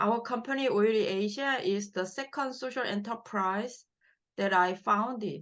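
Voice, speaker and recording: Against a quiet background, a woman with a Korean accent speaks at a fairly slow pace and fairly high pitch, with ordinary pitch variation. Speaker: social entrepreneur, company CEO. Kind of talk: reading prepared English manuscript. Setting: online video session. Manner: halting.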